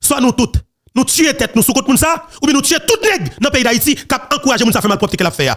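In a Haitian accent, this speaker goes very fast with lively intonation and very even loudness. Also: man. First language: Haitian Creole (speaking French). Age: young. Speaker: political commentary channel host. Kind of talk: political commentary monologue.

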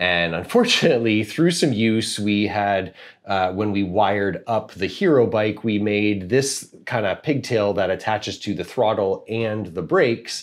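A man's normal speaking voice, fairly low in pitch, at a moderate pace over a quiet background. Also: ordinary pitch variation. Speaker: parent reviewer. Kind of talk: tutorial. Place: home room. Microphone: lapel.

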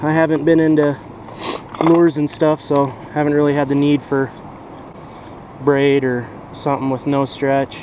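With a fairly high pitch and a slightly mellow tone, the man speaks at a fairly slow pace with little pitch movement and long, frequent pauses over faint background noise.

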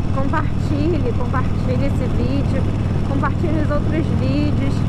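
Loud background noise over a dry sound with no echo. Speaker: motorcycle vlogger. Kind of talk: casual vlog chat. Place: motorbike.

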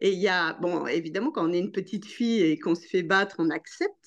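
Over a quiet background, a woman talks at a moderate pace and a medium pitch. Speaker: association ambassador, participant. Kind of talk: participant comment in discussion. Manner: halting. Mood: reflective, emotionally moved. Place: home room. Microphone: video call.

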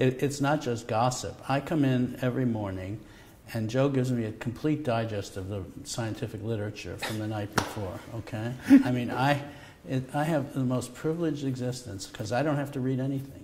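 With an American accent, a man talks at a fairly quick pace. His pitch varies in an ordinary way. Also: medium pitch for a man. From New York, Brooklyn. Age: 60s. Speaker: Nobel laureate medical scientist. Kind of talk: conversational interview. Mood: relaxed, warmly anecdotal. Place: studio.

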